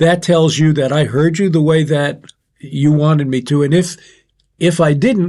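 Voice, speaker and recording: Intonation stays fairly even while the speech keeps a moderate pace. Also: man. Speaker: podcast co-host, military veteran. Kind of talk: casual discussion. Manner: loud.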